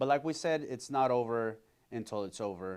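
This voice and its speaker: Against a quiet background, a man with a Spanish accent talks at a moderate pace, his pitch medium and its variation ordinary. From Colombia, raised in Miami and Houston. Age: 30s. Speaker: community organization founder. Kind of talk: podcast interview.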